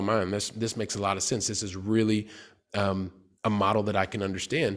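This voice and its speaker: A very fast-talking man with a fairly low pitch and an American accent, on a very clean recording against a silent background. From US Midwest, Columbus, Ohio. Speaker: real estate investor. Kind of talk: interview.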